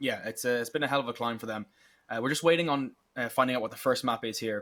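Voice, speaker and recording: A man talks at a very fast pace in a bright, sharp tone, medium in pitch with ordinary pitch variation. The recording is very clean, with a silent background. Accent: Irish. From Ireland. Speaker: esports caster. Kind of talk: live commentary.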